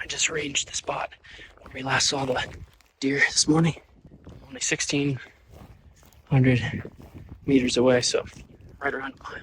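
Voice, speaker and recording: A man speaks at a moderate pace, pausing long and often. His loudness swings widely. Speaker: hunter filming his hunt. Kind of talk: outdoor hunting vlog narration. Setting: outdoors on a mountain. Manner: whispering.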